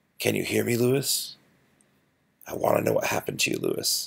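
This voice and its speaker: A raspy, put-on character voice from a man at a moderate pace. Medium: read story. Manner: gentle, dogged.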